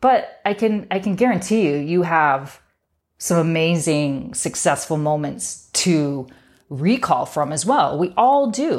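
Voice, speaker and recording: Her pitch fairly low but swinging very widely, a woman speaks at a fairly slow pace. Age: 50s. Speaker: podcast host. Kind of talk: motivational monologue. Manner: animated.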